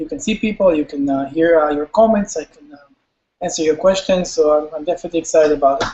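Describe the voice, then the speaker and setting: A man with an Israeli accent at a fairly high pitch, ordinary pitch variation, a very fast pace and big swings in loudness. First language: Hebrew. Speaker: company CEO. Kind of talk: webinar presentation. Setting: live webinar.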